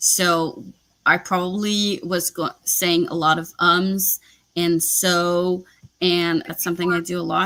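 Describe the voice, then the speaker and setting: Very slowly and in a flat, monotone intonation, a woman with a French Canadian accent speaks at a fairly low pitch with a bright, sharp tone, on a very clean recording with a silent background. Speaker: booktuber. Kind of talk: live stream chat.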